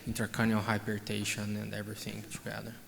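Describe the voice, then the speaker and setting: Audible room echo surrounds a voice with vocal fry and a monotone, flat intonation. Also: man. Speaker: oncologist. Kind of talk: conference Q&A.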